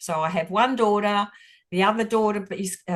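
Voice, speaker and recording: In an Australian accent, a woman talks at a moderate pace with ordinary pitch variation. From Australia, Footscray, Melbourne. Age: 60s. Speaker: football supporter. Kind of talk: casual chat. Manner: halting.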